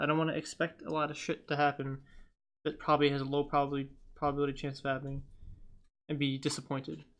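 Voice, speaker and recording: A man's fairly high voice at a very fast pace against a quiet background. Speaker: card-opening YouTuber. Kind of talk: casual reflective talk while sorting cards. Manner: halting, hesitant.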